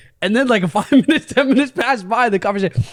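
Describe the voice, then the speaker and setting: A man talks loudly at a very fast pace, his voice extremely high in pitch. His tone is animated, with very wide pitch swings. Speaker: podcast host. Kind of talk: casual chat.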